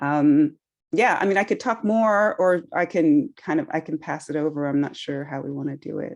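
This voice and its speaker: With a slight Australian accent and a very deep, low pitch, a woman talks at a moderate pace with lively intonation over a quiet background. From California, US. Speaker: yoga teacher. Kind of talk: panel discussion introduction.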